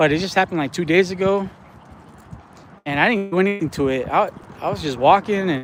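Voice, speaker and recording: A man's high voice at a very fast pace, broken by long, frequent pauses. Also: ordinary pitch variation. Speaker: fishing streamer. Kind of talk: casual live stream chat. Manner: casual, halting.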